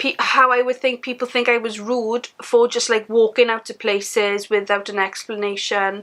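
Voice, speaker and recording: Bright and sharp in tone, a woman with a South Wales Valleys accent speaks at a high pitch with ordinary pitch variation. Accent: Welsh (South Wales valleys). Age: 20s. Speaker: vlogger and mother. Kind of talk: casual vlog monologue.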